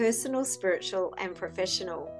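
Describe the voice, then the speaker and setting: The woman's pitch swings very widely as she talks at a moderate pace, with music in the background. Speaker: podcast host. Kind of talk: podcast intro.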